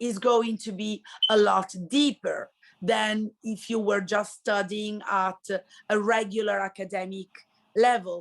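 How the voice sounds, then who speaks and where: A woman talks with an Italian accent. Her pace is very slow. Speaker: high school Italian teacher. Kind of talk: interview.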